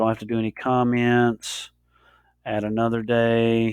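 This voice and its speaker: A man speaks at a medium pitch, with a dry, close sound and no echo. The recording is very clean and the background silent. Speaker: teacher giving software tutorial. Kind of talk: tutorial. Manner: hesitant, many fillers.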